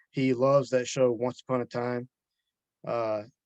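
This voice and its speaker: A man with a Southern US accent speaks at a fairly slow pace and a medium pitch. The sound is dry and close, with no echo. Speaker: author. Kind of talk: interview answer. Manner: soft-spoken.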